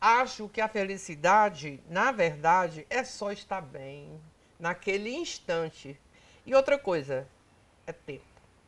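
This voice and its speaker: The speech is very slow. Pitch swings very widely and loudness rises and falls sharply. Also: woman, medium pitch for a woman. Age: 80s+. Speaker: pulmonologist. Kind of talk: interview.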